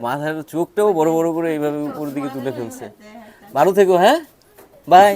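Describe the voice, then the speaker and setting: An ordinary speaking voice from a man, fairly high-pitched, with lively intonation. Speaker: travel vlogger. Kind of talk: travel vlog narration and interviews.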